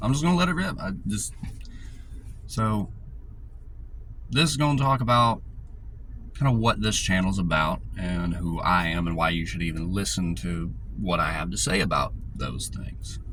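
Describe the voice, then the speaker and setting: With a Southern US accent, a man speaks with long, frequent pauses amid audible room echo. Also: moderate pace. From US South, rural north Georgia mountains. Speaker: YouTuber. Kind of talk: casual monologue. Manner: casual, filler-heavy.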